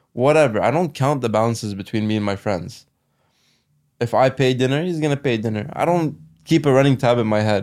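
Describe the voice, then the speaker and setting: In a very clean recording with a silent background, a man speaks at medium pitch with ordinary pitch variation in a plain, everyday voice. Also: fairly quick pace. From Canada, Ottawa. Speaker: lawyer. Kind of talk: casual chat.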